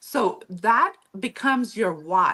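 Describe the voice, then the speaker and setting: In a northern German accent, a woman speaks with a fairly high pitch. Her tone is bright and sharp, and her intonation is lively. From Mennonite community in Mexico. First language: Low German. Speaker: author and historian. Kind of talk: interview.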